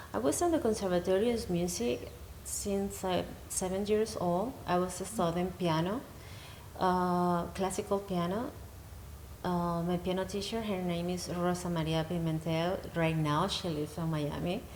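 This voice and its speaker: Pitch variation is ordinary and the pace is moderate. Audible room echo is present. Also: woman, fairly low pitch for a woman. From Venezuela. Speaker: healing practitioner and musician. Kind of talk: interview. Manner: halting.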